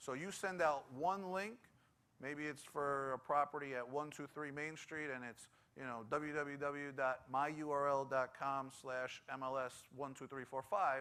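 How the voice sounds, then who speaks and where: A man with a New York accent, fairly high pitch, a bright, sharp tone, and a moderate pace. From New York City (Bronx). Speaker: tech conference speaker. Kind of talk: conference presentation.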